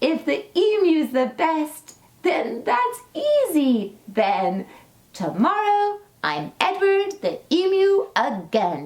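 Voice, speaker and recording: A woman's put-on character voice, extremely high in pitch and very slow. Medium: read story. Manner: gleeful, self-satisfied.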